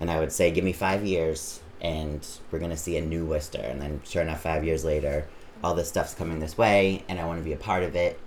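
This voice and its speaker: With an American accent, a man speaks at a very deep, low pitch and a fairly quick pace, his intonation fairly even over audible room echo. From Massachusetts, Auburn. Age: 30s. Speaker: drag performer. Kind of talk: casual interview.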